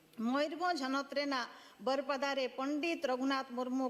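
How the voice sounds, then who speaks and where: Her pitch high, a woman talks with fairly even intonation. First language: Santali (speaking Hindi). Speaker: politician, member of parliament. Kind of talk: parliamentary speech. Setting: parliament chamber. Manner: formal.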